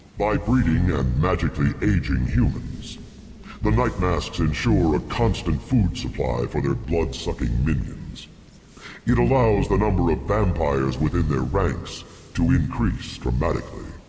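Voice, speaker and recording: A man puts on a character voice with a very deep, low pitch and a solemn tone, speaking at a moderate pace. Clear background noise and a clear echo surround him. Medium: video game. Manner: solemn, formal, archaic.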